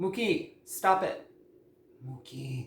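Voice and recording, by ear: At a slow pace, the voice carries lively intonation and a fairly bright tone.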